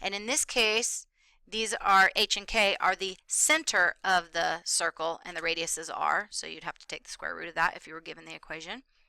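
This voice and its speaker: A woman's medium-pitched, bright, sharp voice with vocal fry, big swings in loudness and ordinary pitch variation, at a moderate pace, in a very clean recording with a silent background and a dry, close sound with no echo. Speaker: math teacher. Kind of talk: lecture.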